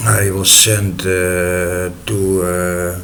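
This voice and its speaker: In a Dutch accent, a man speaks at a very deep, low pitch. Noticeable background noise and audible room echo fill the recording. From Netherlands. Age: 40s. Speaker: storyteller. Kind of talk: personal story. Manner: halting, many filler sounds.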